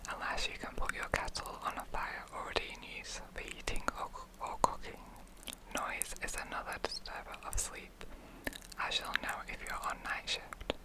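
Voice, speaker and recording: The voice is a whisper. Background noise is noticeable behind it. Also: moderate pace. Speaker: ASMR creator reading a wartime health manual. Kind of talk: vintage-style broadcast reading for sleep, ASMR role play. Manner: whispered, soft, relaxing.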